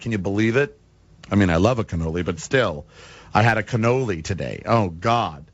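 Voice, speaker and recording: With an American accent, the speaker talks at a fairly quick pace using lively intonation. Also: man. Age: 40s. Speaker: radio talk show host. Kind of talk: talk radio monologue.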